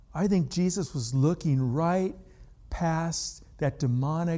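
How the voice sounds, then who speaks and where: At a very slow pace, a man with an American accent speaks in a somewhat breathy voice with a dark, mellow tone. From California. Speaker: pastor. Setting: church. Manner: conversational, folksy and self-deprecating, with asides and chuckles; picking up pace, pressing through points with urgency.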